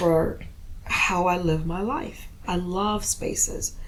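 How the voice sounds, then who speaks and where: The speech moves at a very slow pace. Noticeable background noise and audible room echo fill the recording. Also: woman. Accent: American. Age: 60s. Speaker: poet. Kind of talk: casual chat.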